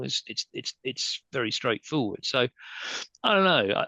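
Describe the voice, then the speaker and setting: In a dry, close recording with no echo, a man with an English accent talks very fast in a bright, sharp tone. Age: 60s. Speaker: entertainment lawyer. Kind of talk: panel discussion. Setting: video call. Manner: halting.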